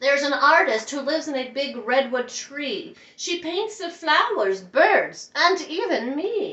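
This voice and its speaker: Using a put-on character voice, a woman speaks at a high pitch. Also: fairly slow pace. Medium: read story.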